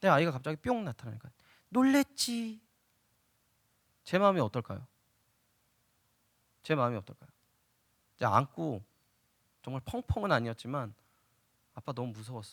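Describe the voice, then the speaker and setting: A man at medium pitch talks at a moderate pace, his pitch swinging very widely and his loudness in big swings. The recording is very clean and dry, close with no echo, over a silent background, and he leaves long, frequent pauses. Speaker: pastor. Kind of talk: sermon. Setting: church.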